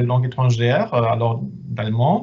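In a German accent, a man speaks at a fairly slow pace. His voice has a dark, mellow tone and is somewhat breathy. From Germany. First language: German (speaking French). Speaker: head of department at exchange service. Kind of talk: webinar presentation. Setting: video conference. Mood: friendly, reassuring.

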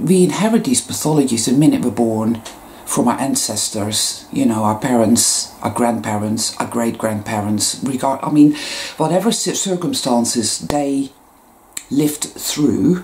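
A woman speaks at a fairly slow pace in a very deep, low voice with lively intonation, while light background noise sits behind her. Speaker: spiritual vlogger. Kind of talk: casual vlog chat. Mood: earnest, reflective. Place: home room. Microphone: webcam.

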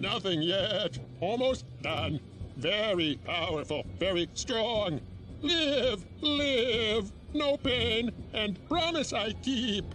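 Clear background noise sits behind a man doing a put-on character voice, pitched high and delivered at a very slow pace. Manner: halting, broken speech.

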